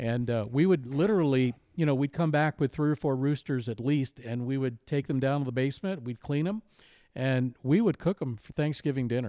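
A man with a normal speaking voice and an American accent talks at a fairly quick pace and medium pitch with ordinary pitch variation, the sound dry and close with no echo over a quiet background. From Iowa, US Midwest. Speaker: podcast producer. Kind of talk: casual chat.

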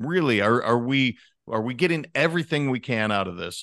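Against a quiet background, a man with an American accent and an ordinary speaking voice talks at a moderate pace and medium pitch, his intonation lively. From Montana. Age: 40s. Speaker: leadership coach. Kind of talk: podcast interview. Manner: casual.

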